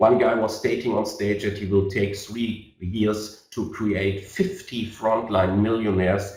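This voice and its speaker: The voice carries a German accent and is somewhat breathy. It moves at a fairly slow pace with audible room echo. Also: man. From Germany. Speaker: network marketing leader. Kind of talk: sales webinar presentation. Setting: online webinar. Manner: halting, many fillers.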